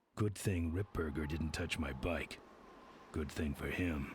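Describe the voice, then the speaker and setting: In a put-on character voice, a man speaks raspy and at a very deep, low pitch, moving at a fairly slow pace with fairly even intonation. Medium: video game. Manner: terse, gruff, deadpan.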